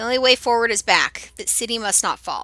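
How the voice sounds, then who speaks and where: A woman's put-on character voice, fairly high and fairly even in intonation, at a fairly quick pace, dry and close with no echo, with music in the background. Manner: calm, soft-spoken.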